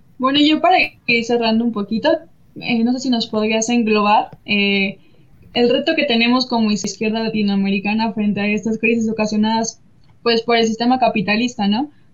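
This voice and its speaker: In a normal speaking voice, a woman talks at a fairly high pitch with ordinary pitch variation and very even loudness. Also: moderate pace. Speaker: co-host. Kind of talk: interview. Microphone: audio problems.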